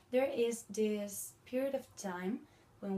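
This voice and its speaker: Somewhat breathy with a dark, mellow tone, a woman speaks with a Spanish accent and ordinary pitch variation. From Spain. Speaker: language video blogger. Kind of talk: educational talk. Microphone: phone near.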